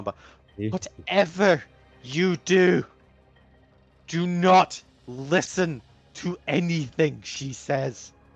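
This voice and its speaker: Over faint music in the background, a man speaks very slowly with long, frequent pauses. His put-on character voice is high-pitched and strained. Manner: urgent, warning.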